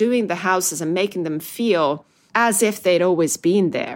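A woman with an Italian accent speaks at medium pitch with ordinary pitch variation, on a very clean recording with a silent background. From Italy, Milan. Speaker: magazine founder and editor. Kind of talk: podcast interview.

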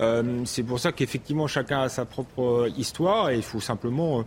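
An ordinary speaking voice from a man, ordinary pitch variation throughout. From France, Paris suburbs (Seine-Saint-Denis). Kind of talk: debate.

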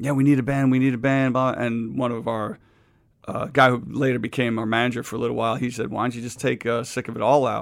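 A man with a New York accent speaks at a fairly quick pace, his medium-pitched voice following a fairly even intonation. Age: 50s. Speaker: hardcore band singer. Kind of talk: casual chat.

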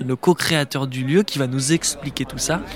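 A man with an unremarkable speaking voice talks at a moderate pace with fairly even intonation, in a dry, close sound with no echo. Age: 20s. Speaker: podcast host and journalist. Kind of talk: on-location travel narration. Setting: outdoors in city streets.

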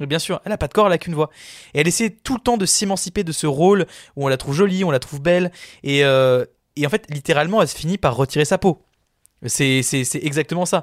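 The speech comes very fast in a dry, close recording with no echo. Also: man, fairly high pitch for a man, ordinary pitch variation, very clean recording, silent background. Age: 20s. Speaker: podcast film columnist. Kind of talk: casual chat.

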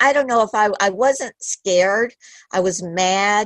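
A woman with an ordinary speaking voice talks fairly slowly at a medium pitch, with lively intonation. The sound is dry and close, with no echo. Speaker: crime survivor. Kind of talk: testimony.

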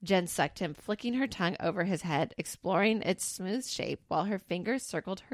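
Pitch shifts in an ordinary manner. The reading aloud is done in a natural voice.

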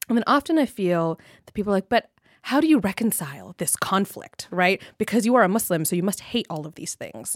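In a very clean recording with a silent background and a dry, close sound with no echo, a woman with a normal speaking voice talks fairly quickly at medium pitch, with lively intonation and big swings in loudness. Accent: American. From Southern California. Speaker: lawyer. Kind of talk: casual chat.

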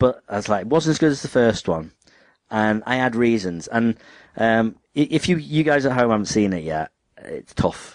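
At a moderate pace and medium pitch, a man talks in a plain, everyday voice. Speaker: podcast host. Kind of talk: casual chat.

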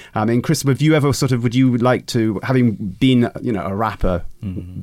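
In a very clean recording with a silent background, a man talks at a fairly quick pace in a plain, everyday voice of medium pitch with ordinary pitch variation. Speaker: hip hop expert. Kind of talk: casual discussion.

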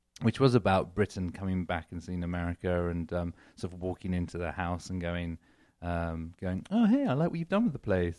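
On a very clean recording with a silent background, a man with an English accent talks at a fairly quick pace in a very deep, low pitch. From England. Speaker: comedian. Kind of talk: casual chat.

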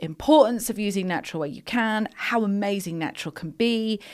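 A woman speaks with an English accent at a medium pitch, her intonation lively. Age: 40s. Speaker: wellbeing brand founder. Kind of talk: casual chat.

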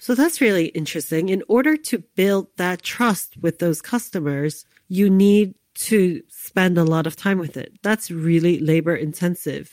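With an unremarkable speaking voice, a woman in an American accent talks at a fairly slow pace and fairly low pitch with ordinary pitch variation, on a very clean recording with a silent background. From US, New York City (Lower East Side). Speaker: podcast host. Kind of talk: storytelling narration.

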